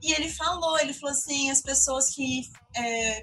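Pitch moves with ordinary variation. The voice is raised and projected. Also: woman. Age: 20s. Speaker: journalist and content creator. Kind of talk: casual interview chat.

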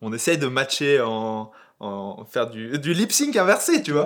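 A man's lively intonation in a very clean recording with a silent background. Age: 30s. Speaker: YouTube content creator. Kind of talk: casual chat.

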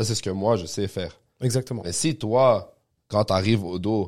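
Recorded very cleanly against a silent background, a man with a Quebec accent speaks at a moderate pace in a fairly low voice with ordinary pitch variation. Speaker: podcast host, jiu-jitsu gym member. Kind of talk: casual interview.

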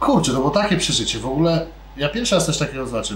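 A high-pitched man at a very fast pace with lively intonation, amid noticeable background noise and audible room echo. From Poland. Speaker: sushi restaurant owner and chef. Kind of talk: casual interview. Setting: in his restaurant.

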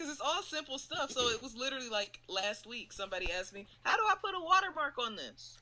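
A woman speaks at a very fast pace with hardly any pauses, her voice raised and projected. Her pitch is high and swings very widely. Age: young. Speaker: podcast co-host. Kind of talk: casual chat.

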